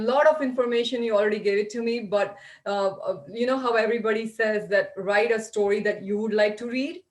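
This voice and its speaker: A woman with an Indian accent talks at a fairly quick pace, her pitch fairly high with ordinary variation. There's noticeable background noise. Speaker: library event host. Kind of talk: interview.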